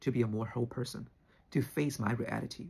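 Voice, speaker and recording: A man speaks at a fairly quick pace with a Chinese accent. His medium-pitched voice carries vocal fry. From China. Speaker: spiritual teacher, YouTuber. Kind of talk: personal opinion monologue. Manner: halting, with fillers.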